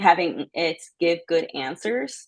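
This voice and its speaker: Here is an ordinary speaking voice from a woman, fairly low in pitch. Her intonation is lively. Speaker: workshop presenter. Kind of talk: online workshop presentation.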